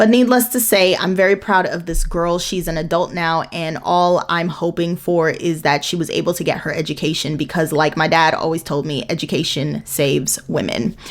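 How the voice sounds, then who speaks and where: A woman with a fairly low pitch and an animated tone, at a moderate pace with hardly any pauses and ordinary pitch variation, over noticeable background noise. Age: 30s. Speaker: book vlogger. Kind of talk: casual chat.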